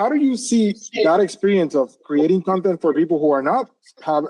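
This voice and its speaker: With a Puerto Rican accent, a man talks using lively intonation. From Puerto Rico. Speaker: interview host. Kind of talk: interview. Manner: fast.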